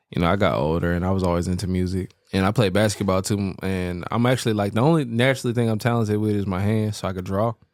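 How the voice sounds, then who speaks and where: Speaking very fast with hardly any pauses, a man with an American accent keeps a fairly low pitch and ordinary pitch variation. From US South, Memphis, Tennessee. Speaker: rapper and recording engineer. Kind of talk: casual podcast interview.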